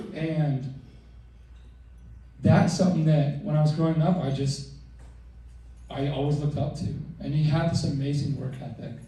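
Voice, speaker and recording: With audible room echo, a man talks at a moderate pace using fairly even intonation. His pitch is fairly high, and he leaves long, frequent pauses. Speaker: son of the deceased. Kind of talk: eulogy. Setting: memorial service with PA system. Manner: loud.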